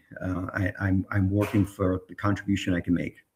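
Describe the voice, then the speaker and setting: A man's somewhat breathy voice, fairly low in pitch, at a moderate pace. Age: 70s. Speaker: tech entrepreneur. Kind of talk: interview.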